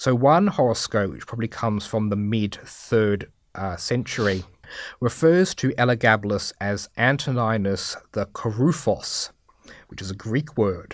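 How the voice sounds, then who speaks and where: On a very clean recording with a silent background, a man of medium pitch speaks at a fairly slow pace, with lively intonation and big swings in loudness. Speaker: history lecturer. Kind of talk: expert interview on Roman history. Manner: hesitant, many fillers.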